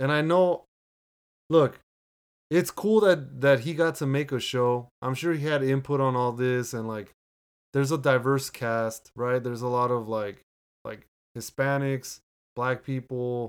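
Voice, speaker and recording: A man with a medium pitch talks at a fairly slow pace, with long, frequent pauses. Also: ordinary pitch variation. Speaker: podcast host. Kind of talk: casual chat.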